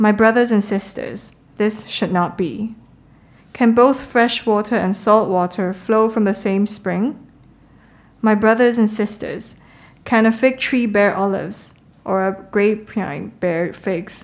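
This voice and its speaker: Here is a woman with a plain, everyday voice, pitched fairly high. She speaks at a fairly slow pace with fairly even intonation. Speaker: scripture reader. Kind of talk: reading aloud.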